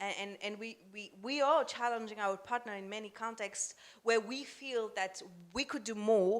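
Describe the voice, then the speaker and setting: This woman has a non-native accent and a fairly high pitch, speaking at a moderate pace. Her intonation stays fairly even on a very clean recording with a silent background. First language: not English. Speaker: humanitarian donor representative. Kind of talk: panel discussion. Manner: halting.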